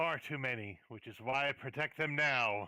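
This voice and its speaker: Using a put-on character voice, a man speaks at medium pitch and a moderate pace. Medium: actual play.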